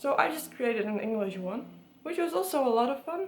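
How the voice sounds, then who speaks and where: Audible room echo surrounds a woman with a Dutch accent. Her pitch is fairly high. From Netherlands, Friesland. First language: Dutch and Frisian. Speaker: book vlogger. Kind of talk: casual vlog talk.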